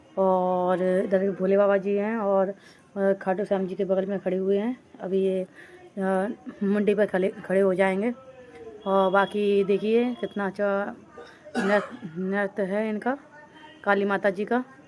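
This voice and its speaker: A woman's medium-pitched voice, monotone and flat, at a very slow pace over noticeable background noise. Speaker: vlogger. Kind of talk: vlog narration. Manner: halting.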